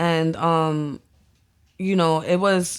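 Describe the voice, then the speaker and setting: In a very clean recording with a silent background, a woman with a Spanish accent speaks at a fairly low pitch. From New York City, the Bronx, Dominican family. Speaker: visual artist and photographer. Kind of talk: casual interview chat. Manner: code-switching Spanglish.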